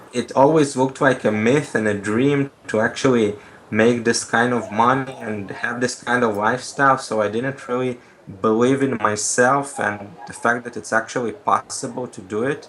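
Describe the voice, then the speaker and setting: Over noticeable background noise, a man speaks at a moderate pace with medium pitch and fairly even intonation. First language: not English (English is third language). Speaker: coaching client. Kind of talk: interview. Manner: halting, many fillers.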